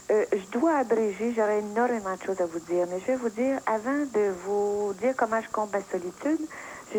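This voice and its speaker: An ordinary speaking voice moves at a moderate pace with ordinary pitch variation. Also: woman. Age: 60s. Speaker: caller. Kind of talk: phone-in talk.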